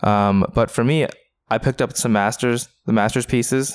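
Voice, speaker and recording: A man with an American accent and fairly even intonation. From US Pacific Northwest, Renton, Washington. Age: 30s. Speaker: card game player. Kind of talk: casual interview.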